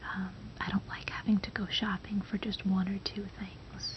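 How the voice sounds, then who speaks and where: A woman whispers in a gentle, relaxed tone at a fairly slow pace. Noticeable background noise runs underneath. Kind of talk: ASMR soft-spoken casual talk to camera. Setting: home recording with microphone. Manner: soft-spoken, gentle, relaxed.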